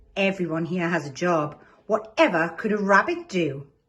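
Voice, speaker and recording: A woman's put-on character voice at a fairly low pitch and a moderate pace. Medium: read story. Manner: bossy, cross.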